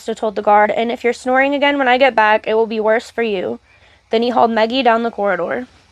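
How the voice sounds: Reading in a natural voice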